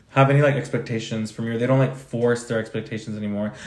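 A man with a medium pitch and fairly even intonation speaks in a plain, everyday voice. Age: 20s. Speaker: podcast co-host. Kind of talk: casual chat.

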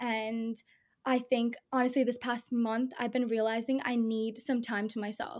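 At a moderate pace, a woman speaks in a fairly high, monotone voice with flat intonation. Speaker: best friend of the hosts. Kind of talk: casual chat.

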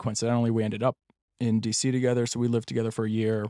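A man with an American accent speaks at medium pitch in a monotone, flat intonation, the sound dry and close with no echo in a very clean recording with a silent background. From Pennsylvania, US. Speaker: stepfather sharing his story. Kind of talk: casual interview.

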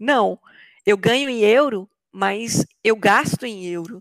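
A woman speaks in a plain, everyday voice at a fairly high pitch with ordinary pitch variation, recorded very cleanly against a silent background with a dry, close sound and no echo. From Brazil, Belo Horizonte metro area. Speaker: software developer. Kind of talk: interview.

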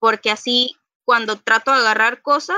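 Using a normal speaking voice, a woman talks at a fairly high pitch and a fairly slow pace. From Panama City, Panama. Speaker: cosplayer and costume maker. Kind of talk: casual chat.

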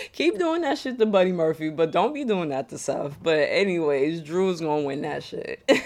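Barely pausing at all, a woman speaks in an animated tone with lively intonation. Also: fairly low pitch for a woman, moderate pace. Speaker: wrestling podcaster. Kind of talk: casual solo commentary.

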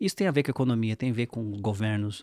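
In a very clean recording with a silent background and a dry, close sound with no echo, a man talks with ordinary pitch variation. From Brazil, São Paulo. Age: 40s. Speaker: fintech CEO. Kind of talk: interview. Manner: halting.

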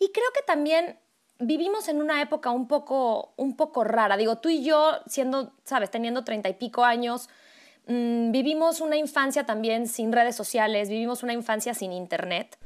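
On a very clean recording with a silent background, the speaker talks at a moderate pace with ordinary pitch variation. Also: woman, high pitch for a woman. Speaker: podcast co-host, voice professional. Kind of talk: casual chat.

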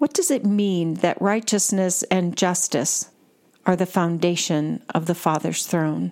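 In a normal speaking voice, a woman talks fairly slowly at a fairly low pitch, with ordinary pitch variation and very even loudness. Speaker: prayer guide and deacon. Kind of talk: guided contemplative prayer, reading psalms aloud with repeated refrains. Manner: calm, slow, reverent, fervent in prayer.

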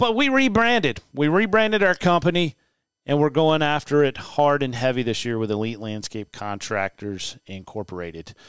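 A man with a fairly high pitch speaks at a moderate pace in an energetic tone, his pitch swinging very widely, in a dry, close sound with no echo on a very clean recording with a silent background. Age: 40s. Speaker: podcast host and landscape business owner. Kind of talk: casual monologue; sponsor read.

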